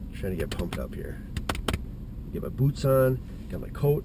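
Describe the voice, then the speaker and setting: Noticeable background noise behind a man's medium-pitched voice at a moderate pace. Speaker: hunting vlogger. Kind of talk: casual vlog monologue. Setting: outdoors in the woods. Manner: halting.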